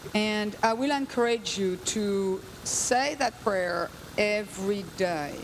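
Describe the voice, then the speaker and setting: Over noticeable background noise, a woman talks very slowly with ordinary pitch variation and very even loudness. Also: medium pitch for a woman. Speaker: guest preacher. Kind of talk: sermon.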